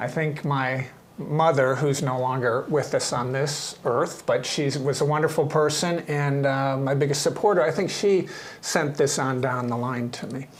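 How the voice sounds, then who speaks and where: At a moderate pace, a man with an American accent talks at a fairly high pitch with fairly even intonation. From Ohio, US Midwest. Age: 60s. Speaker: artist. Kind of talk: casual interview. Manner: halting.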